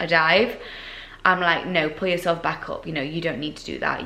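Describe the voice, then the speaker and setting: In a Yorkshire accent, a woman talks at a fairly low pitch and a fairly quick pace with monotone, flat intonation, and the room echo is audible. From Yorkshire, northern England. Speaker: fitness competitor and vlogger. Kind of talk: casual Q&A vlog. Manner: chatty, with fillers.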